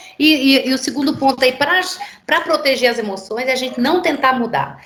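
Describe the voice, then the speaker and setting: Over noticeable background noise and audible room echo, a woman speaks at a moderate pace with a high pitch. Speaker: pastor teaching a course. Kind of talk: online lecture.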